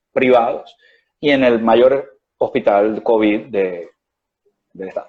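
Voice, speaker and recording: A man with a slight Venezuelan accent speaks with lively intonation. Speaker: doctor. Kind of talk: interview. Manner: hesitant, many fillers.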